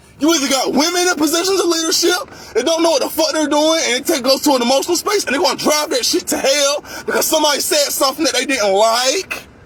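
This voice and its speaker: A loud, extremely high male voice at a very fast pace, with lively intonation over noticeable background noise. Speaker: vlogger ranting about workplace. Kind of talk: angry rant monologue.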